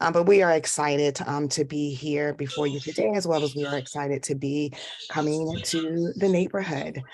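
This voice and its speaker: A woman speaks with a very deep, low pitch. She keeps a moderate pace and ordinary pitch variation. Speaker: school representative. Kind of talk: presentation at public meeting.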